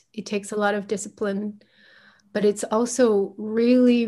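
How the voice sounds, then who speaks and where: A woman speaks with a Chinese accent. Her pitch is medium. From China, then United States from age 11. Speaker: reparenting coach. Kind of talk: casual interview chat.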